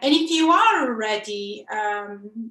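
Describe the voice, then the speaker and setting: A woman's high-pitched voice with ordinary pitch variation. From Italy. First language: Italian. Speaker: software developer, conference speaker. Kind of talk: conference talk. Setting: online video presentation. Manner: hesitant, many fillers.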